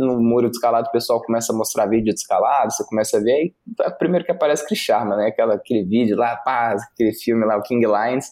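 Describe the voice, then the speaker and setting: Words come from a man at a very fast pace. He uses a medium pitch. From Brasília, Brazil. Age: 20s. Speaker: rock climber. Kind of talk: casual interview.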